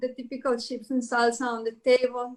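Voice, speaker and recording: A woman speaks with a Spanish accent at a moderate pace. Her pitch is high. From Mexico, Sonora. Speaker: restaurant manager. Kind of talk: interview. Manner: halting.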